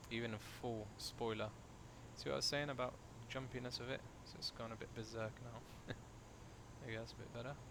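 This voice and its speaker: The man's room echo is clearly audible. He speaks fairly quickly but leaves long, frequent pauses. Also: medium pitch for a man, ordinary pitch variation. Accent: British. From UK. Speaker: flight sim streamer. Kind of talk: live stream commentary. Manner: casual, chatty; quieter while concentrating.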